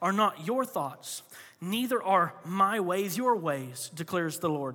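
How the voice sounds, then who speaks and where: In an American accent, a man talks at a fairly slow pace with a high pitch and a bright, sharp tone. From Florida. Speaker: pastor. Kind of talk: sermon. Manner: animated.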